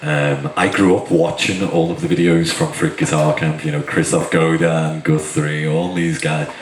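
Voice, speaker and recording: A man with a Liverpool accent speaks at a moderate pace in a very deep, low voice with monotone, flat intonation. Noticeable background noise and audible room echo fill the recording. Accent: Liverpool (Scouse). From northern England, Liverpool. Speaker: guitarist. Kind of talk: talk to a workshop audience.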